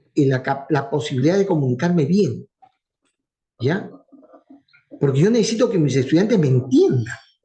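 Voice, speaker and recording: A man with a fairly high, dark and mellow, somewhat breathy voice speaks at a moderate pace with lively intonation and very even loudness, leaving long, frequent pauses. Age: old. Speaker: university professor. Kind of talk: lecture. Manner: fluent.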